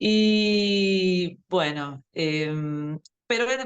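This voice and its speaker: Lively in intonation, a woman talks with an Argentine accent. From Brazil. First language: Portuguese (speaking Spanish). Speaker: language teacher. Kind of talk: interview. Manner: hesitant, many fillers.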